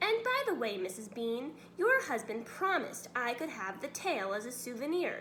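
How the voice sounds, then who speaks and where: A woman uses a put-on character voice pitched high, swinging very widely in pitch at a moderate pace with hardly any pauses. Background noise is clearly audible. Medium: read story.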